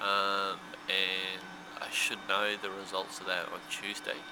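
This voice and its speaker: A very slow voice with an Australian accent, audible room echo and noticeable background noise. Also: man. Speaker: vlogger and stroke patient. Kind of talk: casual video vlog update. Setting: hospital room, handheld camera. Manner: halting, with self-corrections.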